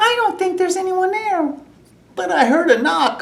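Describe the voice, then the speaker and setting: This put-on character voice is squeaky. Its pitch is extremely high. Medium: read story.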